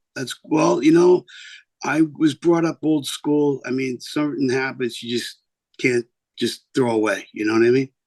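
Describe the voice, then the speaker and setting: A man with a New York accent speaks at a fairly slow pace and medium pitch. His pitch varies in an ordinary way, and the sound is dry and close with no echo. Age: 50s. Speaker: singer and record label owner. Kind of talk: interview. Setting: video call.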